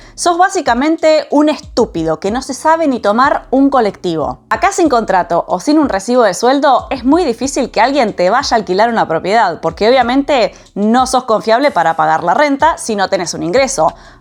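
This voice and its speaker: Her voice high, a woman speaks at a moderate pace with very wide pitch swings and hardly any pauses. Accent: Argentine. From Argentina. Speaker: vlogger, systems engineer living abroad. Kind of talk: personal storytelling vlog.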